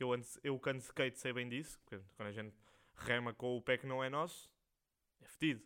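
With a European Portuguese accent, a man speaks fairly quickly at a medium pitch, his tone bright and sharp. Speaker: podcast host. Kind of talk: casual monologue. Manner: rambling, slangy.

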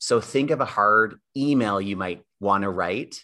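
A man's fairly low-pitched, ordinary speaking voice, an ordinary speaking voice with ordinary pitch variation against a quiet background. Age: 30s. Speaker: educator and podcast co-host. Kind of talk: casual chat.

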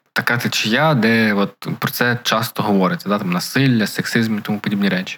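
A man's fairly low voice, a normal speaking voice, at a fairly quick pace with hardly any pauses, very even loudness and ordinary pitch variation. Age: 20s. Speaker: podcast co-host. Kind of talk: casual chat.

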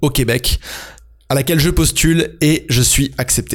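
In a normal speaking voice, a man speaks at a fairly high pitch with ordinary pitch variation. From France. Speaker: podcast host, freelance entrepreneur. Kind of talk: scripted solo podcast narration.

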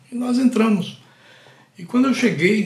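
There is audible room echo around a man's somewhat breathy voice. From Brazil, Pernambuco (Catende). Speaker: podcast host, storyteller. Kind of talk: personal storytelling monologue.

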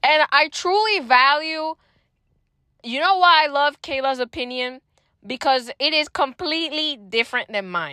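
A woman speaks with a Spanish accent at a fairly slow pace in a high voice. Her tone is animated and her intonation lively. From Puerto Rico. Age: young (19). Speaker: university student podcaster. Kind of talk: casual personal monologue. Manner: code-switches into Spanish.

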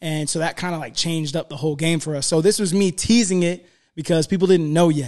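A man with an American accent talks in a plain, everyday voice at a fairly quick pace. His intonation stays fairly even against a quiet background. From South Florida. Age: 30s. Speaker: rapper. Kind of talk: casual chat.

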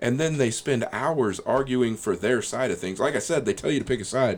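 Using an ordinary speaking voice, a man with an American accent talks at a medium pitch and a fairly quick pace with lively intonation. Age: 40s. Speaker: podcast host. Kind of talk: casual chat.

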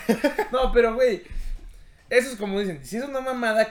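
Over noticeable background noise, a man with a Mexican accent speaks with very wide pitch swings. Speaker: podcast host. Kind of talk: casual chat.

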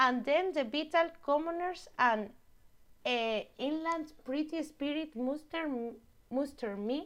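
A woman with an Andalusian accent, high-pitched, at a very slow pace, with lively intonation. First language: Spanish. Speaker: guest sharing her hometown. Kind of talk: casual interview chat. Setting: remote call across countries. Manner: halting, searches for English words.

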